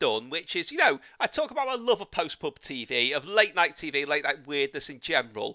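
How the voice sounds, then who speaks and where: A man speaks at a very fast pace in a raised, projected voice with very wide pitch swings. The sound is dry and close, with no echo. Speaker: podcast host. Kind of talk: casual interview chat.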